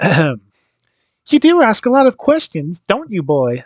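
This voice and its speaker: Putting on a cackling character voice, a man goes high in pitch with very wide swings, speaking fairly slowly in a dry, close sound with no echo. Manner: evil, cackling, menacing.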